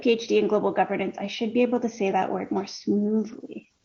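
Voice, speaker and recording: A somewhat breathy voice with a Canadian accent. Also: woman. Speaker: peace researcher. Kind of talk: interview. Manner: fast.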